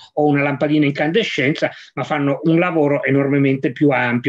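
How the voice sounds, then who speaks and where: This is a man's voice. It sits fairly high in pitch. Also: quiet background. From Piedmont, Vercelli province; Piedmont. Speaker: science journalist. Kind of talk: moderated discussion. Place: office. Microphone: video call.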